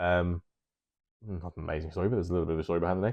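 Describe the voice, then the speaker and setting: A speaker with an English accent. The intonation stays fairly even. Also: man. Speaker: hobby YouTuber and miniature painter. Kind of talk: casual monologue to camera. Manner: hesitant, many filler ums.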